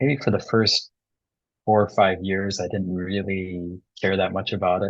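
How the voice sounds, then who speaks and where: A man with a Midwestern accent, fairly low pitch and fairly even intonation. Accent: American Midwest. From US Midwest, suburban Detroit, Michigan. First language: Bengali. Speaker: tango DJ and teacher, environmental psychologist. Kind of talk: interview.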